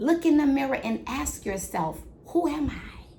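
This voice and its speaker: A woman with an American accent and very wide pitch swings, in audible room echo. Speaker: midwife and podcast host. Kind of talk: motivational podcast monologue. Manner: loud, energetic.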